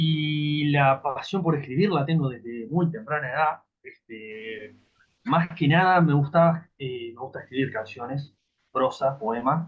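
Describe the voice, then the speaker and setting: Speaking at a very slow pace, a man has a Rioplatense accent. His pitch is fairly high, with ordinary pitch variation. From Uruguay, Montevideo. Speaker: writer. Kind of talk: interview.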